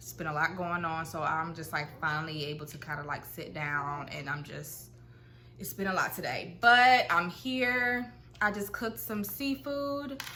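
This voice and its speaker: In an American accent, a woman with a fairly low pitch speaks at a moderate pace, amid audible room echo. Her voice shows very wide pitch swings and big swings in loudness. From Ohio, Cincinnati. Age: 20s. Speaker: vlogger. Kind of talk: casual chat. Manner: hesitant, many fillers.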